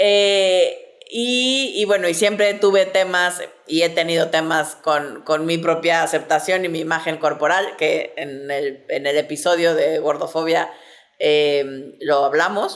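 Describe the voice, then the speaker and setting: With ordinary pitch variation and a fairly low register, a woman talks at a very slow pace. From Mexico City. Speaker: sexologist, podcast host. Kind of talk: casual chat. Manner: hesitant, many fillers.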